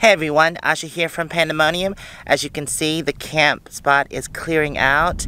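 A woman speaks at a moderate pace with a very deep, low pitch and fairly even intonation. The sound is dry with no echo, over light background noise. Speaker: RV travel vlogger. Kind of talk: casual vlog chat. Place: open country. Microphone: phone near.

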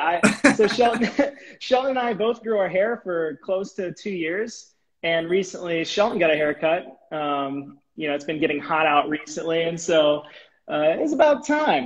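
A man speaks with lively intonation at a moderate pace. The background is quiet. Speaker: live stream host. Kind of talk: casual live stream chat. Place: home room. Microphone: earbuds.

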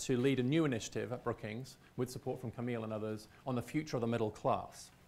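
A man speaks at a very fast pace with a British accent. His intonation is fairly even. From Britain. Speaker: visiting scholar; speaker. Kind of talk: lecture presentation. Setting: stage with audience. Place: hall. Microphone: lapel.

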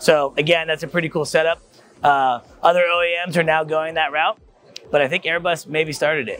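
Light background noise sits behind a man who talks at a fairly quick pace, his voice dry with no echo. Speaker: show host. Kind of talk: guided tour commentary. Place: hall. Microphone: lapel.

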